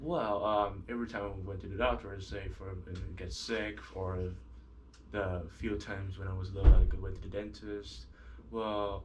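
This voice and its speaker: A man with vocal fry and a fairly low pitch speaks at a moderate pace with ordinary pitch variation and big swings in loudness, amid audible room echo. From Vietnam, Ho Chi Minh City. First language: Vietnamese. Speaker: student. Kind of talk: interview. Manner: halting.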